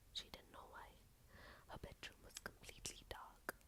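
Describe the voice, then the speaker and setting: Someone whispers in a calm tone at a very slow pace. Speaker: ASMR storyteller. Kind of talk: ASMR story reading. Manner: soft-spoken, calm.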